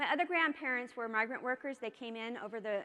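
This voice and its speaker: Speaking very fast, a woman uses lively intonation and a bright, sharp tone. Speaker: keynote speaker, social psychology researcher. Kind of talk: keynote speech. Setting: conference stage with audience.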